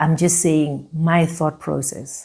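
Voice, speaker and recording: Fairly slowly and in a monotone, flat intonation, a woman speaks at a fairly low pitch. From South Africa. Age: 40s. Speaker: founder sharing personal story. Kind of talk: personal testimony. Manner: hesitant, many fillers.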